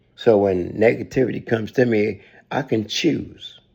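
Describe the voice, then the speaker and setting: A man speaks very slowly with a fairly low pitch. The background is quiet. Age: 60s. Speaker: spiritual vlogger. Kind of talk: personal reflection monologue. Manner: halting.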